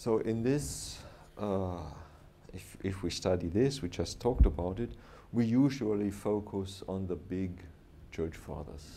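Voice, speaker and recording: A man with a German accent speaks in a dark, mellow tone at a fairly low pitch with ordinary pitch variation. His pace is fairly slow, with long, frequent pauses and audible room echo. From southern Germany, Bavaria. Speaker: professor. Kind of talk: lecture. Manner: halting, pausing for interpreter.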